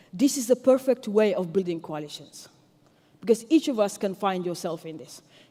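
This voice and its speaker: A woman's dark, mellow voice at a medium pitch, with a French accent and lively intonation. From Senegal. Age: 40s. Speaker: tech entrepreneur and activist. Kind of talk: conference speech.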